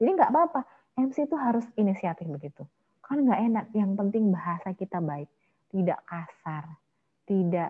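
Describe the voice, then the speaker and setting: A strong Javanese accent at a fairly quick pace, with very wide pitch swings. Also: woman. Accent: Javanese accent, still strong. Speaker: MC trainer. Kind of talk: online training workshop with Q&A.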